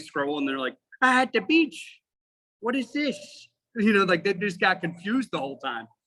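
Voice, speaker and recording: A loud man speaks at a fairly quick clip in a bright, sharp tone, his pitch swinging very widely. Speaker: firefighter and instructor. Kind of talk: casual chat. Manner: animated.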